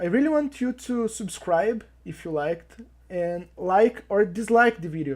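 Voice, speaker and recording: This woman speaks with a non-native accent and lively intonation. Her loudness swings widely from moment to moment. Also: medium pitch for a woman, fairly slow pace. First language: not English. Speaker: YouTube commentator. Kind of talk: opinion commentary.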